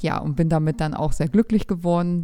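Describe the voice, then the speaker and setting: Over a silent background on a very clean recording, a woman with a dark, mellow tone speaks fairly quickly with fairly even intonation. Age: 30s. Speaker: pharmacist, new mother, former NLP student. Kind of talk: interview. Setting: studio, sitting next to host.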